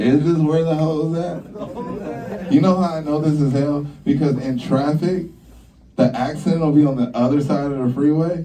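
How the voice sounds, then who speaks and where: Audible room echo around speech at a moderate pace with ordinary pitch variation. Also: man. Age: 40s. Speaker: stand-up comedian. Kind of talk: stand-up. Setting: comedy club stage with audience. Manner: casual, conversational with filler words.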